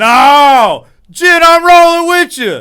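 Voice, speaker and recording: Shouting in a raised, projected voice, a man swings very widely in pitch with a bright, sharp tone. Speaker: sports picks show host. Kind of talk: casual sports banter. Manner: loud, yelling; animated.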